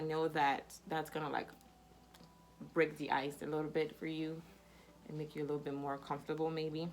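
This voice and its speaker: Her pitch is very deep and low for a woman. She talks at a fairly quick pace but leaves long, frequent pauses. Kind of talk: casual chat. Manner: hesitant, repeats words.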